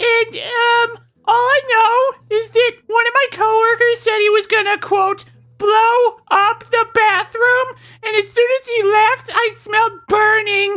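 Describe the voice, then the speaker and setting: A female-sounding, put-on character voice is squeaky and extremely high in pitch. It moves at a fairly slow pace with monotone, flat intonation. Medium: game stream.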